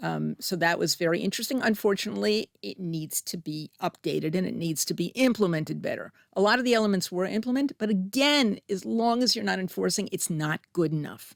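In a New Jersey accent, a woman talks at a fairly quick pace with lively intonation and hardly any pauses, in a dry, close sound with no echo. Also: medium pitch for a woman. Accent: American (New Jersey). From US, New Jersey. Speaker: public health professor. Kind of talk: interview. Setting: studio.

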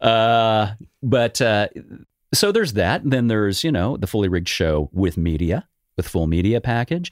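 An ordinary speaking voice: a man with an American accent, fairly low in pitch, with lively intonation at a moderate pace. Loudness stays very even on a very clean recording with a silent background. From Los Angeles, California. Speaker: tribute band manager and musician. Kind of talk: casual interview.

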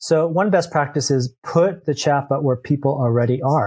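A man speaks in a somewhat breathy voice. The sound is dry and close, with no echo. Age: 50s. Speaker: software entrepreneur. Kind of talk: interview.

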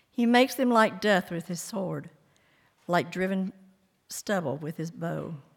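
Using vocal fry and lively intonation, the speaker moves at a fairly slow pace with long, frequent pauses. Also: woman, medium pitch for a woman. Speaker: scripture reader. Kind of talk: reading aloud.

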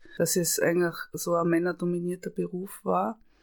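The recording is very clean, with a silent background. A woman does the talking. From Austria, Tyrol. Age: 50s. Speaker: camerawoman and screenwriter. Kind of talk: interview.

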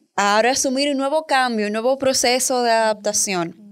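An unremarkable speaking voice. The recording is very clean, with a silent background. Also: woman. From Dominican Republic. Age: 20s. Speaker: communication educator and founder. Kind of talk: interview, personal story.

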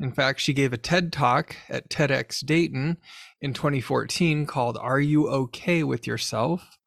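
The speaker has an ordinary speaking voice with ordinary pitch variation. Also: man. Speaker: podcast host and journal editor. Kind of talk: interview podcast.

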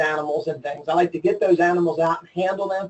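An enthusiastic man with a high voice and an American accent. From Maryland, US. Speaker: agricultural education professor. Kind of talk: interview.

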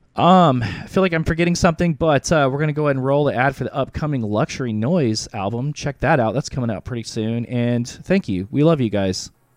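With lively intonation and hardly any pauses, a man with an unremarkable speaking voice talks at a fairly quick pace and medium pitch. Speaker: music promoter, DJ and talk show host. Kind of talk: casual livestream chat. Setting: online livestream.

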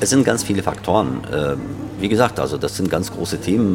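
A man is speaking. Music plays in the background. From Germany, Berlin. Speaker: chairman of a Palestinian community association. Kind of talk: interview. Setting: café. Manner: halting.

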